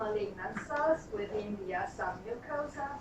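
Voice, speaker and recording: There is audible room echo as a woman speaks with lively intonation. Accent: Romanian. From Romania (Transylvania). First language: Romanian. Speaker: pathologist. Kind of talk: lecture. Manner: frequent filler hesitations.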